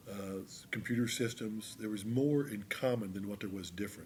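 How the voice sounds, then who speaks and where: With an American accent, a man in a normal speaking voice talks at a moderate pace and a fairly low pitch. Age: 60s. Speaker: retiring high school teacher. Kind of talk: casual interview.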